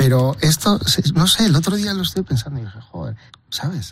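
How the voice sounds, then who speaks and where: A man's pitch swings very widely as he talks fairly quickly over background music. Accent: Basque. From Basque Country, Bilbao. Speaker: chef. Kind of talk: casual interview. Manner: halting, many repetitions.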